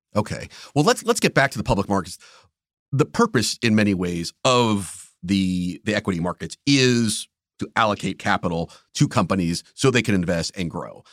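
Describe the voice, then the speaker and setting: This man has an ordinary speaking voice, fairly low in pitch with ordinary pitch variation, at a moderate pace. The recording is very clean, dry and close with no echo, and the background is silent. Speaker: podcast host, newspaper editor. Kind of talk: interview questions on economics.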